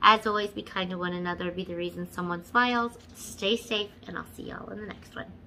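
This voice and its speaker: A woman talks at a fairly quick pace with hardly any pauses. Her intonation stays fairly even over light background noise. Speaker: beauty vlogger. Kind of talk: casual vlog chat. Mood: slightly hurried. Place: home room. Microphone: phone near.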